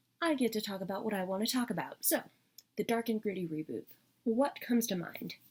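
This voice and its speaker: A woman speaks at a fairly quick pace in a fairly high, somewhat breathy voice with lively intonation. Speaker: media reviewer. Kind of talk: casual talk to camera. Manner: fast.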